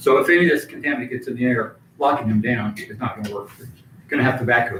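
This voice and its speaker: A man speaks very fast at a medium pitch. There is noticeable background noise. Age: 60s. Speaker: concerned citizen speaking at public comment. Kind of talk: public comment.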